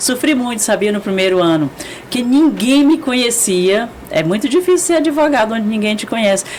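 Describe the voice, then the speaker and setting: A woman with a Goiás accent speaks at a moderate pace, her fairly high pitch swinging very widely over noticeable background noise. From Brazil, Goiás (Goiânia). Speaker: lawyer. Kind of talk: casual chat.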